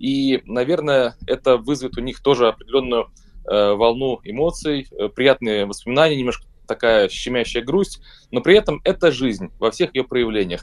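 Using a normal speaking voice, a man talks at a moderate pace with a medium pitch and ordinary pitch variation. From Saint Petersburg, Russia. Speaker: rock band vocalist. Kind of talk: radio interview. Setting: remote call.

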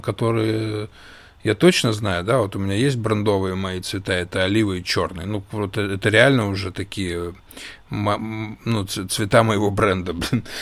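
A man with an ordinary speaking voice speaks at a fairly slow pace with a fairly low pitch and ordinary pitch variation. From Russia. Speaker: podcast co-host, small business owner. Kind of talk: casual chat.

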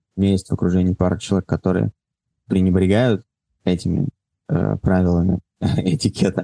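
This man's voice has a dark, mellow tone and a fairly low pitch. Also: dry, close sound with no echo. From Moscow, Russia. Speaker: entrepreneur, event organizer. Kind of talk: casual interview. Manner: halting.

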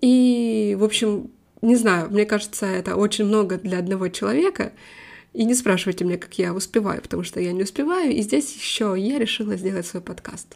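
Over a silent background in a very clean recording, a woman talks at a moderate pace, her medium pitch showing ordinary variation. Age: 20s. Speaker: English teacher and podcaster. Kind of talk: casual monologue.

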